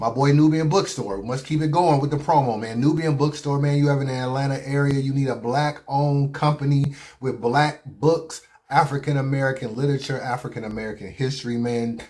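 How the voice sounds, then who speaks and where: Somewhat breathy, a man talks at a fairly quick pace. His voice is fairly high, with fairly even intonation. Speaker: battle rap reviewer. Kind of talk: casual vlog commentary. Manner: relaxed, conversational.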